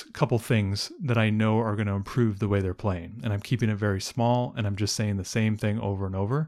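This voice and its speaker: With an ordinary speaking voice, a man talks fairly low in pitch, his pitch varying in an ordinary way, on a very clean recording against a silent background. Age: 40s. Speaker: homeschooling podcast co-host, stay-at-home dad. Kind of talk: casual chat.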